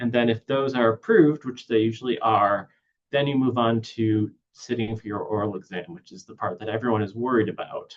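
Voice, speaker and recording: Speaking in a plain, everyday voice, a man at medium pitch moves at a fairly quick pace with fairly even intonation and big swings in loudness. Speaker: neuropsychologist giving a webinar talk. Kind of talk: webinar lecture.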